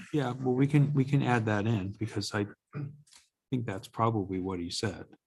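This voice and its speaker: A man mumbles at a moderate pace in a somewhat breathy voice. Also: medium pitch for a man, ordinary pitch variation. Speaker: zoning board chair. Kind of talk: public meeting discussion. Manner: mumbling.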